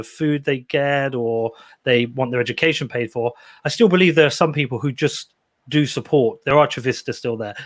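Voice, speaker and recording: A man with a British accent at a fairly high pitch, ordinary pitch variation and a fairly quick pace, on a very clean recording with a silent background. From Britain. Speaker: podcaster. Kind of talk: interview.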